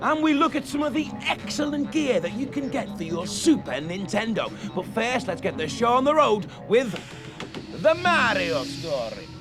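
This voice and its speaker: A man speaks at a moderate pace with an energetic, upbeat tone and an extremely high pitch. His pitch swings very widely, and music plays in the background. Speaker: TV presenter. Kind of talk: upbeat presenter link to camera.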